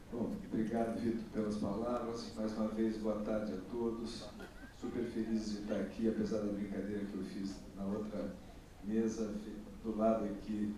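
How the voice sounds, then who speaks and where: A man with a fairly low pitch speaks in a monotone, flat intonation at a moderate pace, with audible room echo and noticeable background noise. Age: 60s. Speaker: bookseller, panelist. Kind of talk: panel talk. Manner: hesitant, many fillers.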